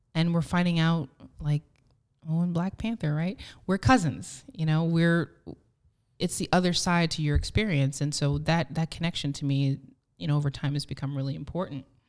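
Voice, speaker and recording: A woman's very deep, low voice moves at a moderate pace. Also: ordinary pitch variation. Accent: New Jersey. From New Jersey. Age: young. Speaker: podcast host. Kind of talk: casual chat. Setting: studio.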